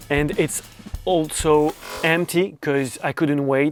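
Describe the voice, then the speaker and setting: Someone talks with a non-native accent while music plays in the background. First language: not English. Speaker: drummer and gear reviewer. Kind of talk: product review. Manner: halting, with many fillers.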